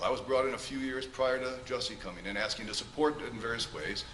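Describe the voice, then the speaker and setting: A man with a medium pitch speaks at a very fast pace. Audible room echo and noticeable background noise surround his voice. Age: 60s. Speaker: character witness, music director. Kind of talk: courtroom testimony. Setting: courtroom.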